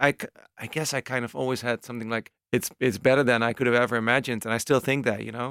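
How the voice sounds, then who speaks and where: A man with a Dutch accent talks at a very fast pace in a medium pitch, his intonation monotone and flat, in a dry, close sound with no echo. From Netherlands, Amsterdam. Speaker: techno DJ and music producer. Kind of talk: casual interview chat. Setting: music studio.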